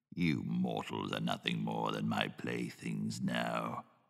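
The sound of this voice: Using a put-on character voice, a man speaks fairly slowly, very deep and raspy, in a monotone, flat way.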